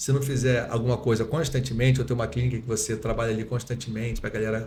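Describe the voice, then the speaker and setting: The speaker talks at a very fast pace in a somewhat breathy voice with monotone, flat intonation. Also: man, medium pitch for a man. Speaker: dentist and lecturer. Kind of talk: podcast interview. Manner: swallows words.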